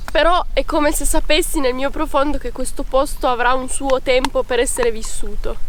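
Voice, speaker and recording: A woman with a high pitch talks at a fairly quick pace with lively intonation, amid audible room echo and noticeable background noise. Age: 20s. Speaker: farm worker. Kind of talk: interview. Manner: reflective, with hesitations.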